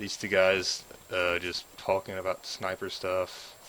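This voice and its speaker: A man with a Southern US accent, a very deep, low pitch and flat, monotone intonation. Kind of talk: game mod walkthrough narration. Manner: casual, hesitant with fillers.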